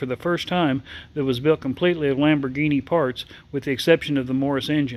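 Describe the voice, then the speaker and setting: Talking at a very fast pace, the man keeps his intonation fairly even. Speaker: museum guide or collector. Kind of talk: informative narration. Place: hall.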